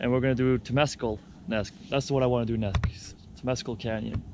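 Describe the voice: Fairly quick and medium-pitched, a man talks with a slightly mellow tone and fairly even intonation. There is audible echo from the room.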